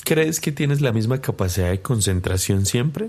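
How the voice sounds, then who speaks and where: Here a man speaks at a moderate pace and medium pitch, somewhat breathy, with lively intonation. The recording is very clean, with a silent background. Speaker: podcast host. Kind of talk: casual interview.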